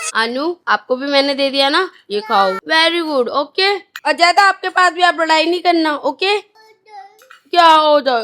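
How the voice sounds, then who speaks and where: A woman shouts in a raised, projected voice at an extremely high pitch, her intonation lively. The sound is dry and close, with no echo. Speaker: family vlogger. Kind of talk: casual vlog talk with children. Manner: loud, sounds like shouting.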